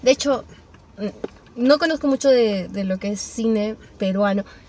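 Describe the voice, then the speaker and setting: Noticeable background noise sits beneath the speech. A woman talks at a moderate pace, her fairly high pitch varying in an ordinary way. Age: young. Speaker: podcast guest. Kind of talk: casual chat.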